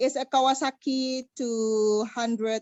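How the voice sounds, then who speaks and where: A woman with an Indonesian accent speaks very slowly in a high pitch with ordinary pitch variation. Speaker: motorcycle rider, engineer. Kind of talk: interview. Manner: halting.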